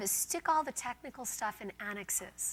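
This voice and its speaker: Her voice is high in pitch, and this woman speaks with lively intonation. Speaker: law professor. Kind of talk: lecture. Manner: fast.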